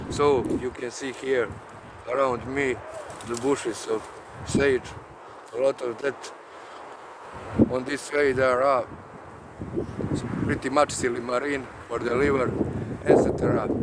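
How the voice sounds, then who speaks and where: With a Croatian accent and monotone, flat intonation, the speaker moves at a fairly slow pace with long, frequent pauses amid noticeable background noise. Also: man, medium pitch for a man. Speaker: herbalist vlogger. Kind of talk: casual vlog. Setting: outdoors. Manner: halting, many hesitations.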